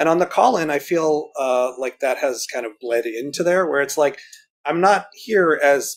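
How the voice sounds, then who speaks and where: A man with an unremarkable speaking voice talks at a moderate pace. His intonation is lively. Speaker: roller derby referee and tech volunteer. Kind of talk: casual chat. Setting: video call.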